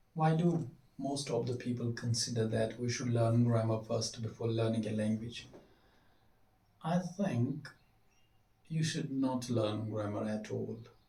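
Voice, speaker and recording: The voice has a dark, mellow tone and is somewhat breathy. Long, frequent pauses break it up, with audible room echo. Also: man, medium pitch for a man, ordinary pitch variation, fairly slow pace. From Kashmir. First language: Kashmiri. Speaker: English teacher. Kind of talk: tutorial. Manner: halting.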